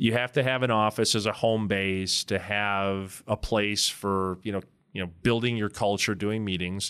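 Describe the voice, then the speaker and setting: On a very clean recording with a silent background, a man with an American accent speaks at a fairly low pitch in a monotone, flat intonation. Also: moderate pace. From Wisconsin. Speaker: commercial real estate broker. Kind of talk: casual interview.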